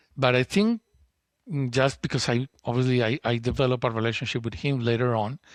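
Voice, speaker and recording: The speech has a Spanish accent and a fairly quick pace. The sound is dry and close, with no echo. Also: man. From Colombia, Bogotá. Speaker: entrepreneur, school co-founder. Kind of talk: interview, personal story. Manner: halting, many repetitions and restarts.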